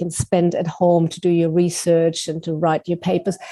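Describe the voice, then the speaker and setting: A woman's fairly low voice with a dark, mellow tone at a moderate pace. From Germany. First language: German. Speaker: writing teacher and author. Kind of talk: interview.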